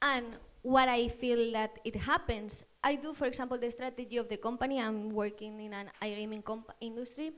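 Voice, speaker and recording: A woman with a Spanish accent speaks at a moderate pace in a fairly high pitch, her intonation fairly even. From Spain. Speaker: marketing manager, audience member. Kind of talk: audience question at panel talk. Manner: halting.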